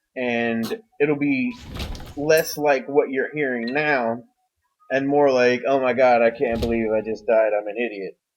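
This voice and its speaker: A man at a medium pitch, fairly slow pace and fairly even intonation. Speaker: gaming YouTuber. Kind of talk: voiceover commentary over gameplay. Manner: casual, rambling.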